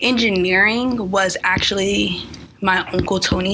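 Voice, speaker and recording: Fairly even intonation and an American accent come through over noticeable background noise. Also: woman. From California. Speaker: engineering student. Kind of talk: casual interview. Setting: radio studio.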